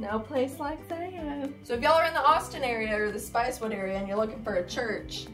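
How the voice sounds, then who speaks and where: Fairly quick, lively speech from a woman with an American accent, hardly any pauses, and music in the background. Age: 20s. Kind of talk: casual vlog talk to camera. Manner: enthusiastic, chatty.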